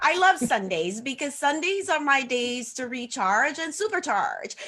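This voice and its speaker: Speaking at a moderate pace, a woman uses a raised, projected voice with a high pitch. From Haiti. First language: French. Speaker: social media coach. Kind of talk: casual interview on livestream. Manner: some hesitations and fillers.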